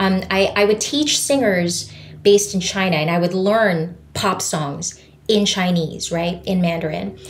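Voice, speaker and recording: Ordinary pitch variation at a fairly slow pace, with audible room echo and noticeable background noise. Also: woman, medium pitch for a woman. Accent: Filipino. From Philippines. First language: Tagalog. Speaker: voice teacher. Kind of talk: podcast interview. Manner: animated.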